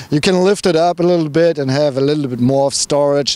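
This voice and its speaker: A man speaks with a strong German accent in a fairly high-pitched voice. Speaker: car reviewer. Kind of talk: casual talk to camera.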